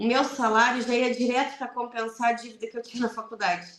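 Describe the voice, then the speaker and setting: This woman speaks with a fairly high pitch. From southern Brazil, Rio Grande do Sul (Piratini, Pelotas). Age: 40s. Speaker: lawyer. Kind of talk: radio interview.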